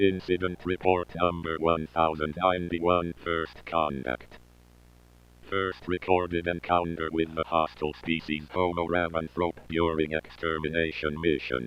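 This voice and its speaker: Using a put-on character voice, a man speaks at a moderate pace with a very deep, low pitch and monotone, flat intonation. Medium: audio drama. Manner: flat, formal.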